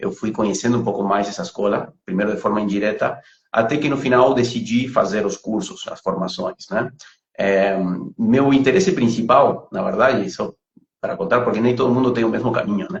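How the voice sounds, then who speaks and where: Here a man speaks with a Uruguayan accent at a fairly quick pace. His voice is somewhat breathy. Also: medium pitch for a man. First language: Spanish (speaking Portuguese). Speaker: pranic healing instructor. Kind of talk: interview on a live stream. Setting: online live video. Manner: halting, many repetitions and fillers.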